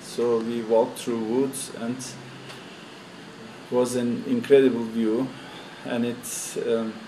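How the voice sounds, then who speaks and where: A man is speaking with noticeable background noise behind him. There is audible room echo. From Turkey. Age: 60s. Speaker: tour participant. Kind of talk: interview. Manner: halting.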